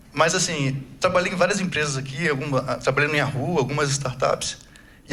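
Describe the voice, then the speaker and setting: A man's very fast speech with ordinary pitch variation and audible room echo. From Brazil. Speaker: agile coach, conference speaker. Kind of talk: conference talk. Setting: stage with audience. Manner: casual, conversational.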